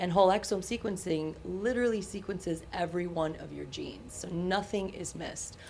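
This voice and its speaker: A woman with a normal speaking voice, fairly low in pitch, talks at a fairly quick pace with ordinary pitch variation. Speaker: genetic testing company founder. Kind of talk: casual chat. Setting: studio.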